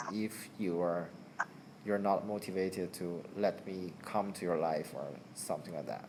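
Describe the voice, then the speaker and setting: Spoken at a moderate pace with a Chinese accent, the voice stays monotone, with flat intonation. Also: man, very deep, low pitch for a man. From China. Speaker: channel owner chatting with a friend. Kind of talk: casual chat. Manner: halting, many repetitions.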